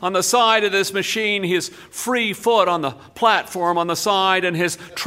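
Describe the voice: The voice is a plain reading aloud with ordinary pitch variation.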